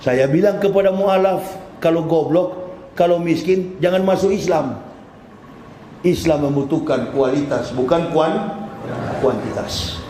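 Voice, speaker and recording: Recorded with audible room echo and noticeable background noise, a man speaks fairly slowly at a high pitch with very even loudness. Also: ordinary pitch variation. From North Sulawesi, Indonesia. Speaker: Islamic preacher. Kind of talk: sermon. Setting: mosque.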